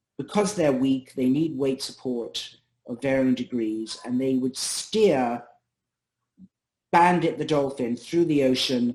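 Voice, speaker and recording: In a normal speaking voice, a man talks at a medium pitch and moderate pace. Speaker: neurologist and researcher. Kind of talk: academic seminar talk.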